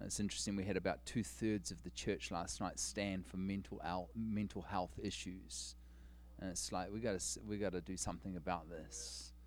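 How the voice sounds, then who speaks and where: Vocal fry marks a man with a New Zealand accent whose very deep, low pitch moves in very wide swings. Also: moderate pace. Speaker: guest preacher. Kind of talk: sermon. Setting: church stage with congregation.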